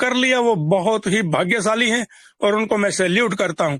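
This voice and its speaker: The recording is dry and close, with no echo. A man talks high in pitch, his pitch variation ordinary. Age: 60s. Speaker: network marketing leader. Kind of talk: motivational speech. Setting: stage with audience. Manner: animated.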